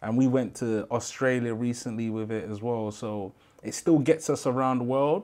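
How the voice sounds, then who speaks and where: Against a quiet background, a man with a London accent speaks at a medium pitch and moderate pace, with ordinary pitch variation. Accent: London Multicultural English. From London, Brixton. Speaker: rapper in a pop group; podcast guest. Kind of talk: interview. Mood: relaxed, reflective. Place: studio.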